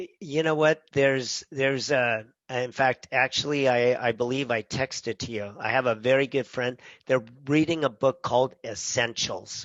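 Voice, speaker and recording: This man's voice is medium in pitch. He speaks at a moderate pace. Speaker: chef and podcast co-host. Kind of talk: casual chat. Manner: animated.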